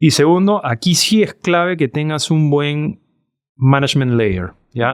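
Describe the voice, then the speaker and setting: A man speaks at a very slow pace with lively intonation and fairly high pitch. The recording is very clean, with a silent background. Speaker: startup CEO and co-founder. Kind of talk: interview.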